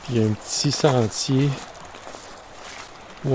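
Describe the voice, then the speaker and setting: Medium-pitched male voice with a relaxed tone and fairly even intonation, over noticeable background noise. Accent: Quebec. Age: 60s. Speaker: camping vlogger. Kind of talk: casual vlog talk to camera. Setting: outdoors at a campsite. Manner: relaxed, with frequent hesitations.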